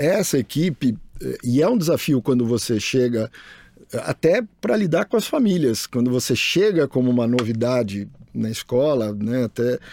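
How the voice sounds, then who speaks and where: Recorded dry and close with no echo, a man's dark, mellow voice moves with lively intonation. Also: medium pitch for a man, moderate pace, very even loudness. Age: 50s. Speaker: school director, biologist. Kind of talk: casual chat. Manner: halting, repeats words.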